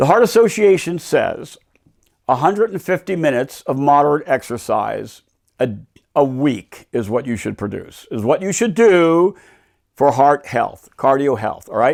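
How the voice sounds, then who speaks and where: At a moderate pace, a man with a fairly high pitch makes very wide pitch swings on a very clean recording with a silent background. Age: 70s. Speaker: YouTube host, author. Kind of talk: casual monologue. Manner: conversational, informal.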